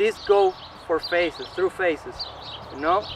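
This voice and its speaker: There is noticeable background noise. The pace is fairly slow. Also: man. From Peru. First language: Spanish. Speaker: slackline athlete and instructor. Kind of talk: tutorial.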